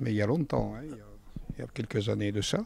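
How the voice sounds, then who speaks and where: A man's voice over noticeable background noise. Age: 80s+. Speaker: political party activist. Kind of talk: street interview. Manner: halting.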